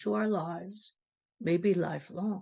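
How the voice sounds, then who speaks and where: With very wide pitch swings, a woman speaks at a fairly slow pace. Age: 80s+. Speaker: lay speaker at a congregation service. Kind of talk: sermon. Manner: formal.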